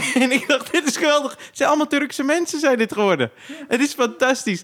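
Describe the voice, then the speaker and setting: Extremely high pitch marks this man's voice. He moves at a fairly quick pace with ordinary pitch variation. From Zaandam, Netherlands (Poelenburg). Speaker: comedian and podcast host. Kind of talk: casual chat.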